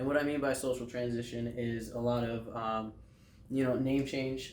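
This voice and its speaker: A man talks at a moderate pace and medium pitch, with audible room echo and noticeable background noise around his voice. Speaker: air force veteran. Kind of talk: interview. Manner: many fillers.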